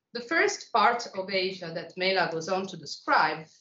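The recording has audible room echo. A woman speaks at a moderate pace with ordinary pitch variation. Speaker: visiting lecturer. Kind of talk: lecture. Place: classroom.

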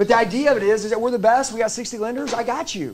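A man speaks with ordinary pitch variation. Light background noise is present. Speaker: sales trainer. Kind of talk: motivational sales training talk. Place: meeting room.

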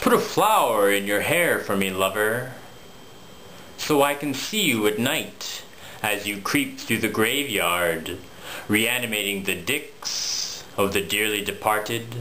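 A man uses a theatrical, playful tone at a fairly low pitch with ordinary pitch variation. He goes at a fairly slow pace over light background noise. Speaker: poet. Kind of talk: spoken word poetry, dark macabre Halloween poem. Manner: theatrical, rhythmic, playful-sinister. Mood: dark, playful Halloween tone.

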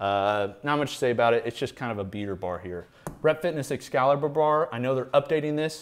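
Here a man speaks at a fairly quick pace. His intonation is lively. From US Midwest. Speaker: fitness equipment reviewer. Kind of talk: casual video review. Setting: home garage gym. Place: garage.

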